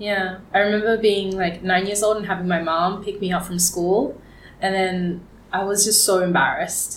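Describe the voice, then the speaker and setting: A woman with an Australian accent talks at a medium pitch and moderate pace, in monotone, flat intonation. Audible room echo and noticeable background noise fill the recording. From Australia, rural Victoria and Geelong. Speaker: fashion entrepreneur. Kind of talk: interview conversation. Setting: studio.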